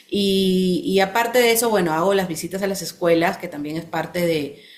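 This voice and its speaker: At a fairly quick pace, a woman speaks in a plain, everyday voice with ordinary pitch variation. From Peru. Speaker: children's book author. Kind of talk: interview.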